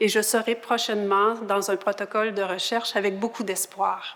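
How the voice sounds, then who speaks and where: In a monotone, flat intonation, a woman talks fairly slowly. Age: 60s. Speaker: patient partner. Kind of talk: interview introduction.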